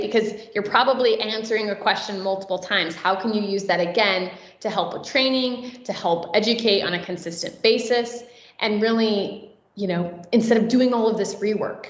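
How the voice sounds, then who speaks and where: Noticeable background noise and audible room echo surround the speaker. A woman talks at a fairly high pitch. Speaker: conference speaker. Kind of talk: conference talk. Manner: fast.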